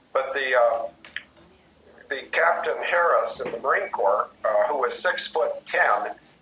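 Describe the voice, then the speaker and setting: Fairly slow speech from a man amid noticeable background noise. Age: 60s. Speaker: retired military pilot. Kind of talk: radio interview.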